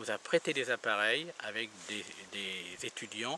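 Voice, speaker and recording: A man speaks over noticeable background noise. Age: 60s. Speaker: ufologist and investigator. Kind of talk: interview. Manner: halting.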